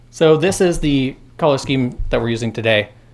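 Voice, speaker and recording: Medium pitch in a male voice, with an American accent. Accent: Midwest accent with a little Southern. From US Midwest, Indiana. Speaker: university lecturer. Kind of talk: lecture. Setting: classroom with students. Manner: casual, conversational.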